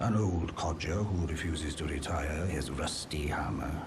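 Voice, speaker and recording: Over loud background noise, a man uses a put-on character voice with a very deep, low pitch. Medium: machinima. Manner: polite, gentle.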